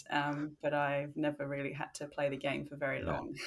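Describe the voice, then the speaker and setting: With an Australian accent, a woman speaks at a moderate pace in a very deep, low pitch with vocal fry. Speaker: leadership consultant. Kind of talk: casual chat.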